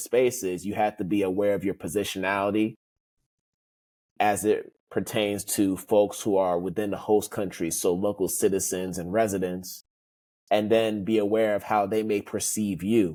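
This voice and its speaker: A man's fairly low, dark, mellow voice in an American accent, monotone with flat intonation at a moderate pace, on a very clean recording with a silent background. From United States. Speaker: diversity consultant and author. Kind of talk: podcast interview.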